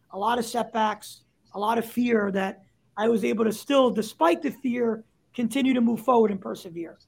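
A man's extremely high voice in a New York accent, moderate in pace, with fairly even intonation. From New York, Staten Island. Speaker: startup CEO. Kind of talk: interview.

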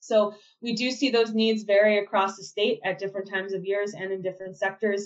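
Her intonation stays monotone and flat. The woman talks at a fairly quick clip. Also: medium pitch for a woman. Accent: American. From Minnesota (Minneapolis and Mankato). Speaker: state agriculture official. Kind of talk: podcast interview.

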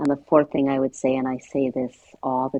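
A woman with an American accent and a very deep, low pitch speaks at a moderate pace. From New York. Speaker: memoir author. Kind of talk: interview.

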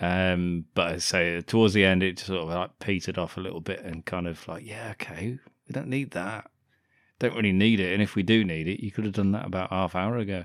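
In a very clean recording with a silent background, a man with an English accent speaks fairly quickly, his very deep, low voice keeping a fairly even intonation. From England. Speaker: podcast co-host. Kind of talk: casual chat.

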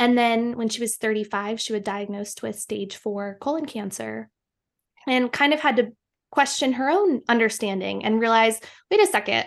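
With a quiet background, a woman talks in an unremarkable speaking voice at a fairly high pitch, with ordinary pitch variation and a moderate pace. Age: 30s. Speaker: producer and writer. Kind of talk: casual chat.

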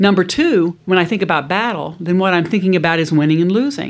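Lively in intonation, a woman with a fairly low pitch speaks at a very fast pace. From US South, South Louisiana. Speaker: business school professor, negotiation expert. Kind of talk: interview, expert conversation.

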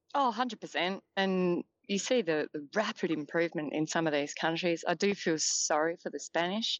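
Using hardly any pauses, a woman with an Australian accent speaks at a moderate pace and a fairly low pitch. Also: ordinary pitch variation. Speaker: football journalist. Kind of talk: casual interview. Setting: phone call.

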